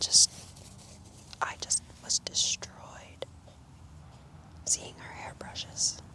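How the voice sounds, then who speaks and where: The voice is a whisper. Noticeable background noise sits behind it. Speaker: ASMR content creator. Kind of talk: ASMR whispered ramble about grief, talking to camera. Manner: whispered, quiet.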